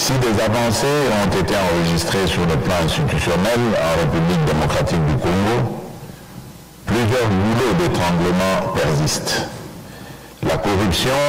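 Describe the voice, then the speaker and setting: Very slow speech with long, frequent pauses over loud background noise. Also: man. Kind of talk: formal prepared speech. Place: hall. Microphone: podium.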